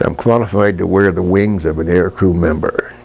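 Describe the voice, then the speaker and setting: A man speaks with a very deep, low pitch. Music plays in the background. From US, southern Pennsylvania (Mason-Dixon line area). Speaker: war veteran. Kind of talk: oral history interview. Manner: halting. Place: home room.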